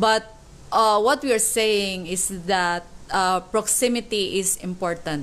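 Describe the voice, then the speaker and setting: At a very slow pace, a woman with a Filipino accent speaks at medium pitch with ordinary pitch variation. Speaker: co-host. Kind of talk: casual church discussion.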